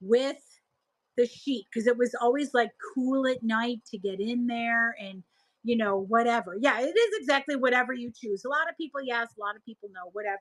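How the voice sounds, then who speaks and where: A woman with a Buffalo accent speaks in a high, animated voice with ordinary pitch variation at a moderate pace, and the sound is dry and close with no echo. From Buffalo, New York area. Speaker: live-stream seller. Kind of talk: casual chat.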